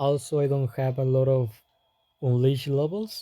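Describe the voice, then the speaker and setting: A man speaks with a non-native accent at a fairly slow pace. His medium-pitched voice has a dark, mellow tone. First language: not English. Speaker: gaming youtuber. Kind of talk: improvised game guide. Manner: halting, stuttering.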